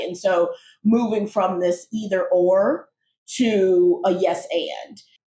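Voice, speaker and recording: A woman's somewhat breathy, medium-pitched voice with a dark, mellow tone and fairly even intonation. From United States. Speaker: podcast co-host. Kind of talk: casual conversation.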